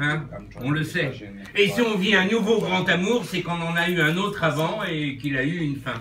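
The voice moves at a moderate pace with ordinary pitch variation, with audible room echo and light background noise. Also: man, high pitch for a man. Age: 60s. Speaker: birthday honoree and amateur writer. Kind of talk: reading aloud. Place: bar. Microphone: camera far.

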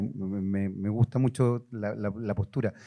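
The man's tone is dark and mellow, and the background stays quiet. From Chile. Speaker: journalist and TV presenter moderating a panel; journalist, TV presenter. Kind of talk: panel moderation. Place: hall. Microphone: handheld.

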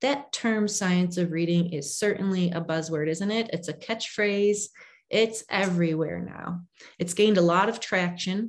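The delivery moves at a moderate pace. Pitch varies in an ordinary way. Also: woman, medium pitch for a woman. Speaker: reading education nonprofit leader. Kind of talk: conference presentation. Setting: video call. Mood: earnest, personal. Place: home room. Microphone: video call.

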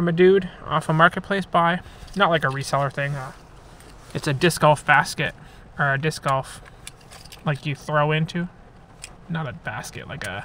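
A man is talking over light background noise. The sound is dry, with no echo. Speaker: thrift reseller vlogger. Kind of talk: casual vlog chat. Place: car. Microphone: phone near.

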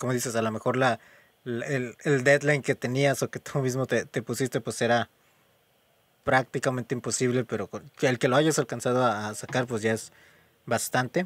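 Recorded very cleanly against a silent background, the sound is dry and close with no echo. A man with an unremarkable speaking voice talks at a moderate pace, medium in pitch and with ordinary pitch variation. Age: 20s. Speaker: podcast host. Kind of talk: casual chat.

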